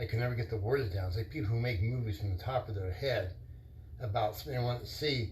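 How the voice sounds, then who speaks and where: Mumbling at a very fast pace, a man with a medium pitch and a somewhat breathy voice speaks with ordinary pitch variation. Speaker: vlogger. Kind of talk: casual monologue. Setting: live stream. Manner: rambling, halting.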